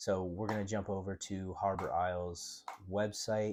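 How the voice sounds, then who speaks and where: Monotone, flat intonation over music in the background. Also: man. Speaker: real estate agent. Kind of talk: casual screen-share walkthrough. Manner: casual, with many fillers; stumbling briefly.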